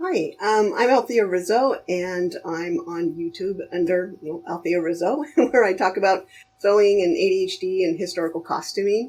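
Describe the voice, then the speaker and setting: The speaker is a woman with an unremarkable speaking voice, medium in pitch with ordinary pitch variation. She talks at a moderate pace with hardly any pauses. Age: 50s. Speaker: costume sewing creator. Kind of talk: casual chat. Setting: voice call.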